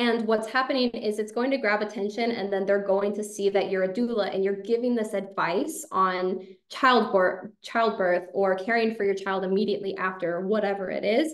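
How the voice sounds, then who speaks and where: A woman's unremarkable speaking voice at a medium pitch and moderate pace, with hardly any pauses. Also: ordinary pitch variation. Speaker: social media marketing consultant. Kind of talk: webinar presentation. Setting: video call webinar.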